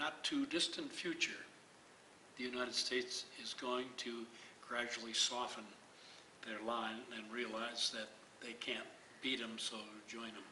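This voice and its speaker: A man at medium pitch, fairly slow and monotone, with flat intonation and long, frequent pauses. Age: old. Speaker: retired priest and activist. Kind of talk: interview. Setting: community event.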